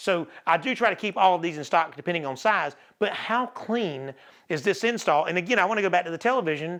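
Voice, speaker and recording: Animated and fairly quick, a man talks with a high pitch and an American accent. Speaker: audio-video store owner. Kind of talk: product showcase. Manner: fast.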